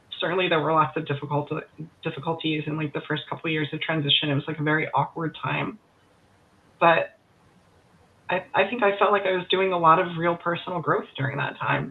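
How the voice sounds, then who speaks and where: A woman with an American accent and a very deep, low pitch, at a fairly quick pace with long, frequent pauses and ordinary pitch variation, over noticeable background noise. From Florida, USA. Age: 30s. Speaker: marketing agency owner. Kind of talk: interview answer. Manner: casual, reflective.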